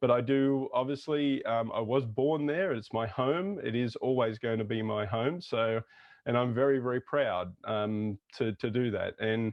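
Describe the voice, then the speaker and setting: An Australian accent marks this man's speech at a medium pitch. He goes at a fairly slow pace, with ordinary pitch variation. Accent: typical Australian. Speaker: intercultural consultant. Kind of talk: interview conversation.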